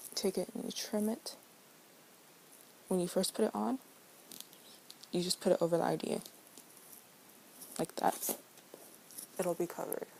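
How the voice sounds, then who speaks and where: A soft-spoken woman talks at a moderate pace and medium pitch with ordinary pitch variation. She leaves long, frequent pauses. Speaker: crafts tutorial maker. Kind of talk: tutorial.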